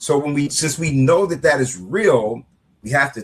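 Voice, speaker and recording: A man with a plain, everyday voice, at a moderate pace with ordinary pitch variation. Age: 60s. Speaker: author and anti-violence activist. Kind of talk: interview. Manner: repetitive, conversational with filler words.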